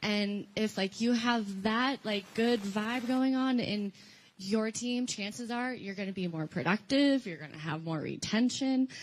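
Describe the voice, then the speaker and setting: A woman speaks at a fairly slow pace in a somewhat breathy voice. Her pitch is fairly high, with ordinary pitch variation. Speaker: recruiter, former mental health counselor. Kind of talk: panel introduction at conference workshop.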